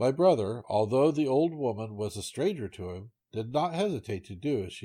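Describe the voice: Against a quiet background, the voice is plain reading aloud with lively intonation.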